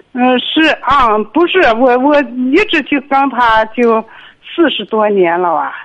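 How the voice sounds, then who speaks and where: Speaking at a very slow pace, a woman uses lively intonation in a high pitch. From Inner Mongolia, Linhe. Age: 60s. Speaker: caller. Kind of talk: phone call-in. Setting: phone call. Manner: halting.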